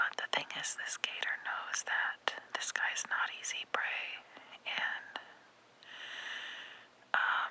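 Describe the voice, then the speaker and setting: A woman whispers very slowly with an American accent, leaving long, frequent pauses over noticeable background noise. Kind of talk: ASMR whispered ramble voiceover. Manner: whispered, soft, casual, rambling.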